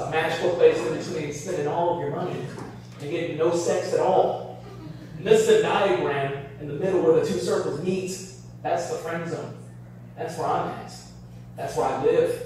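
A man speaks at a moderate pace with long, frequent pauses and big swings in loudness. The recording has strong room echo and light background noise. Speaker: stand-up comedian. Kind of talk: stand-up comedy set. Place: bar.

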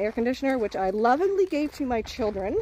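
A woman speaks at a fairly quick pace. Light background noise sits behind her. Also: dry sound with no echo. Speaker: vlogger parent. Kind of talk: casual vlog chat. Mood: light, joking. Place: forest. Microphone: phone near.

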